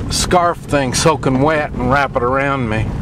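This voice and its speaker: The speech moves at a fairly slow pace, with a dry sound with no echo and noticeable background noise. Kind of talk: casual vlog chat. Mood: relaxed, wry, hesitant. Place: car. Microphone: phone near.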